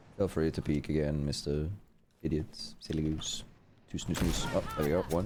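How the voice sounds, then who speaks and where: Long, frequent pauses break up a man's very deep, low voice, which is dark and mellow in tone and monotone and flat in intonation. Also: moderate pace. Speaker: gaming streamer. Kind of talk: live gameplay stream chat.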